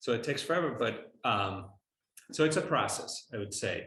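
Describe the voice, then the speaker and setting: A man with lively intonation talks at a moderate pace, and audible room echo surrounds his voice. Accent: non-native. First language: not English. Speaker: architecture professor. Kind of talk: lecture Q&A. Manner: halting, many fillers.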